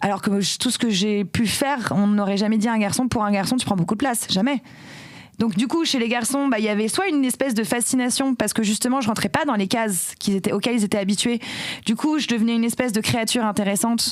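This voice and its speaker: In an animated tone, a woman with a fairly high pitch and ordinary pitch variation talks very fast over noticeable background noise. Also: very even loudness. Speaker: tech career executive and feminist activist. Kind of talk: podcast interview. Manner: loud.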